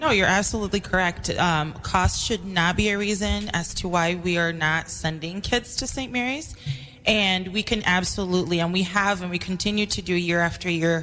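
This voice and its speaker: Over music in the background, a woman with an American accent talks at a moderate pace with a medium pitch and ordinary pitch variation. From New York City. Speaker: school secretary and parent. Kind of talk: radio interview.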